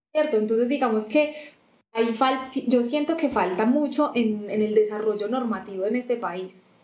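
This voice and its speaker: Audible room echo surrounds a woman's fairly high-pitched voice. She speaks at a moderate pace with ordinary pitch variation. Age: 20s. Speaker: customs lawyer. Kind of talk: interview conversation.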